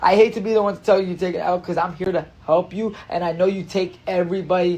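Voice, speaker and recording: A man's high, dark and mellow voice with a slight Spanish accent, very fast and with monotone, flat intonation. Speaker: social media influencer. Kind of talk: casual livestream chat. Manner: repetitive, stammering.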